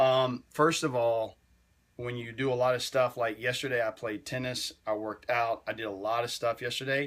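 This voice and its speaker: Speaking in a Southern US accent at a moderate pace, a man with a medium pitch comes through on a very clean recording with a silent background. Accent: Southern US twang. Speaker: fitness livestreamer. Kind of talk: casual livestream chat. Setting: livestream at home. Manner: animated.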